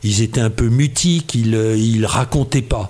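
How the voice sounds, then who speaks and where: A man at medium pitch with ordinary pitch variation, talking at a very slow pace over noticeable background noise. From Oise, northern France. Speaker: retired engineer and novelist. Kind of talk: interview.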